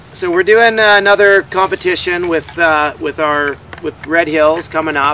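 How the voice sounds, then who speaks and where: Against noticeable background noise, a man speaks in a high voice with fairly even intonation. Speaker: horse eventing rider and show co-host. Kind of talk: casual chat. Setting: at a horse show venue. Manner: loud.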